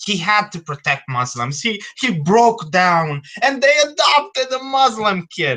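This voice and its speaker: A man with a high pitch speaks in a raised, projected voice at a fairly slow pace. His pitch swings very widely, with hardly any pauses. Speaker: panel participant. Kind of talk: casual chat. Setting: video call.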